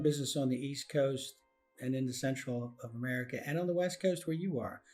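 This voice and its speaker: A man at a moderate pace with ordinary pitch variation, music playing in the background. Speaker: podcast host; commercial construction professional. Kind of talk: interview question.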